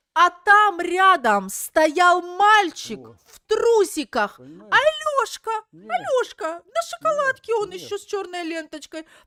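Raised and projected, a woman's voice with an extremely high pitch and a bright, sharp tone carries lively intonation, recorded dry and close with no echo. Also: moderate pace. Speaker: video blogger and streamer. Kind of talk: live stream chat. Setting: live stream with video-call guests. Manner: animated.

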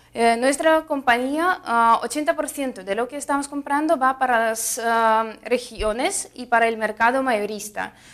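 Speaking very slowly with a Russian accent, a woman uses a high pitch with ordinary variation and big swings in loudness against a quiet background. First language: Russian (speaking Spanish). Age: 20s. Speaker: fruit importer representative. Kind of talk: interview. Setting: trade fair. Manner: halting, many fillers. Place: studio.

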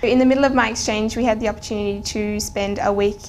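The speaker is a woman. Light background noise can be heard. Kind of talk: interview answer. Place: studio.

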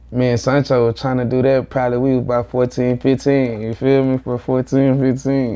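This American-accented man has a medium pitch and a flat, monotone delivery. He keeps a moderate pace. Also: hardly any pauses. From Houston, Texas (south side). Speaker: rapper; interview guest. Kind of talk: casual interview chat. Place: home room.

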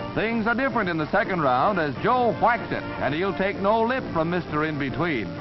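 Over music in the background, a man speaks in a high pitch with very wide pitch swings and hardly any pauses. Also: moderate pace. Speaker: newsreel narrator. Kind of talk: newsreel narration.

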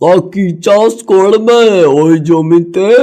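A man's cartoonish character voice, high in pitch, with ordinary pitch variation. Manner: rustic, chatty.

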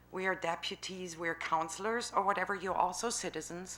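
With a German accent, a woman speaks in a fairly low voice with a bright, sharp tone, and room echo can be heard. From Germany. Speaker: citizen speaking at council. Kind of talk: public comment at city council meeting. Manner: halting.

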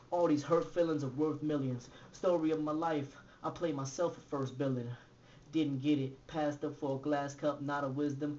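Over light background noise, a man speaks in a fairly high pitch with monotone, flat intonation. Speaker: author and poet. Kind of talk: spoken word poetry performance. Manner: rhythmic, fast. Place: home room. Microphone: webcam.

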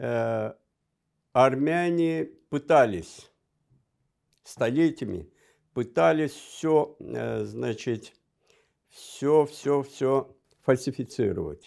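A man at a very slow pace with long, frequent pauses, against a quiet background. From Azerbaijan. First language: Azerbaijani (speaking Russian). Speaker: diplomat; guest. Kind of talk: interview. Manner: halting. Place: studio. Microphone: lapel.

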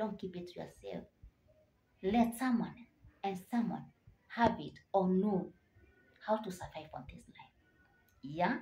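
A woman at a fairly slow pace with ordinary pitch variation. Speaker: motivational vlogger. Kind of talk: motivational talk to camera. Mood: earnest, encouraging. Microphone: phone near.

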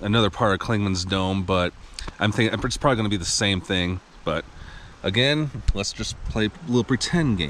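Over light background noise, a man talks at a moderate pace with lively intonation, the sound dry with no echo. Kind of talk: casual vlog chat, reading a sign aloud. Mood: upbeat, playful despite fog. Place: open country. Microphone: phone near.

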